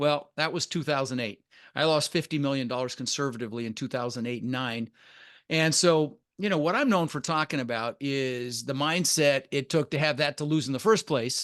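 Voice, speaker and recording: Against a quiet background, a man with an American accent talks fairly quickly in an ordinary speaking voice, fairly high in pitch with ordinary pitch variation. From Denver, Colorado, US (Dutch-born). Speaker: real estate investor. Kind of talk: podcast interview.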